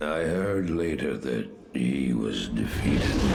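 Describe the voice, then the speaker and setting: Using a put-on character voice, a man talks at a fairly slow pace in a very deep, low pitch over loud background noise. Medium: short film.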